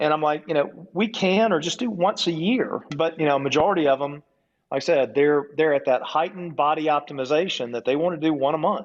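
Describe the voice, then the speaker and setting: In an ordinary speaking voice, a man talks at a fairly high pitch with ordinary pitch variation and a fairly quick pace. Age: 60s. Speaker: wellness clinic owner. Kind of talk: casual chat.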